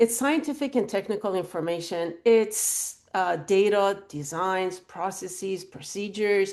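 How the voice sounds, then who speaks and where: A woman speaks in a normal speaking voice at medium pitch with ordinary pitch variation, talking at a fairly slow pace with hardly any pauses over a quiet background. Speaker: university technology licensing director. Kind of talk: webinar talk. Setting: video call. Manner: interactive, informal.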